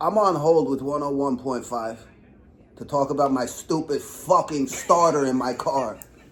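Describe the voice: Room echo is audible as a man speaks at a fairly slow pace. His pitch is medium, with ordinary variation.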